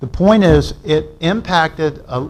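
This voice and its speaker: A man speaks with ordinary pitch variation. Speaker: public commenter at city meeting. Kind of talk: public comment at council meeting. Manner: loud; animated.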